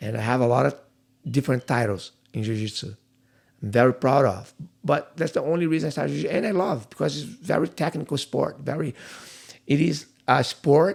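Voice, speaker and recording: In a very clean recording with a silent background, a man talks at a fairly quick pace with long, frequent pauses. His fairly high voice has vocal fry and lively intonation. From Brazil, Rio de Janeiro. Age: 50s. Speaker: jiu-jitsu instructor. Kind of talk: podcast interview. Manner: halting.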